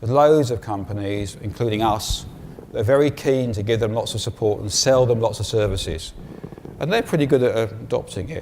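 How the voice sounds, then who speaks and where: A man with an English accent speaks with ordinary pitch variation over noticeable background noise, his voice carrying audible room echo. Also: medium pitch for a man, fairly quick pace. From England. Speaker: conference speaker. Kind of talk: conference talk.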